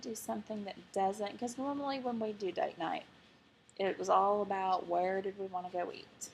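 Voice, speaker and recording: Speaks at a fairly quick pace with lively intonation. The accent is Arkansas. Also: woman. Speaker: vlogger. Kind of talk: personal video diary.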